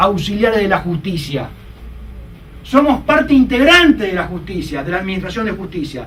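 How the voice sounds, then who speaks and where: The voice makes very wide pitch swings. Audible room echo and noticeable background noise surround it. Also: man. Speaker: lawyer lecturer. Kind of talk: lecture. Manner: fast; animated.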